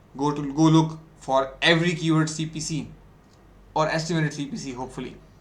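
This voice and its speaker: Amid audible room echo, a man with a fairly high pitch speaks at a fairly quick pace with fairly even intonation. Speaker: ecommerce instructor. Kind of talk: lecture. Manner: fast.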